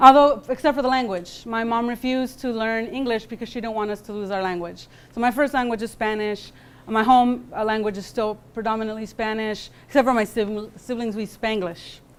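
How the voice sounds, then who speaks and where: The speaker has an American accent and an ordinary speaking voice. The pace is fairly quick, with big swings in loudness. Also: woman, fairly high pitch for a woman. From California. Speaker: guest speaker. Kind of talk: lecture. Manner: casual, with many fillers.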